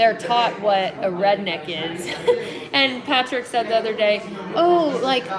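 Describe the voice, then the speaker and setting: Lively intonation carries over crowd noise in the background, with audible echo in the room. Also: woman. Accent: Southern US. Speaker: travel vlogger and hiker. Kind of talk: live Q&A stream. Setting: live video stream, TV noise in background. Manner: frequent filler 'like'.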